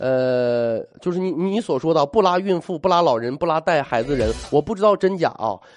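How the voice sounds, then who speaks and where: A man's fairly high voice at a moderate pace. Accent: Northeastern Chinese. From Northeast China. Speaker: radio talk show host. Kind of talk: radio talk show monologue. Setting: radio studio, live broadcast.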